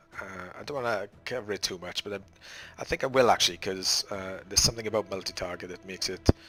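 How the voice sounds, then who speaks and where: Very fast speech from a man with a Welsh accent, fairly low in pitch, with fairly even intonation. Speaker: gaming tutorial creator. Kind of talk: gameplay tutorial commentary. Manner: casual, hesitant.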